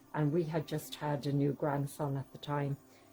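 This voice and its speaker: Over music in the background, a woman with a very deep, low pitch speaks at a moderate pace. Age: 60s. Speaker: tapestry weaver, artist. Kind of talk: documentary interview. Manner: casual, hesitant with fillers.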